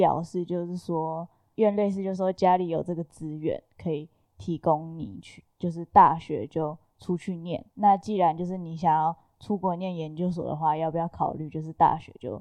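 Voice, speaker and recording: Her fairly low, dark and mellow voice moves at a moderate pace with fairly even intonation and big swings in loudness, captured in a dry, close sound with no echo. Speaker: graduate student. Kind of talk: casual chat.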